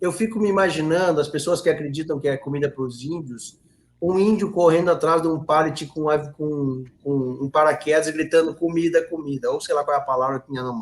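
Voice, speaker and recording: A man talks at a fairly quick pace with a fairly high pitch. He has an unremarkable speaking voice with ordinary pitch variation. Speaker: political commentator. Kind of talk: live stream discussion. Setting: live stream.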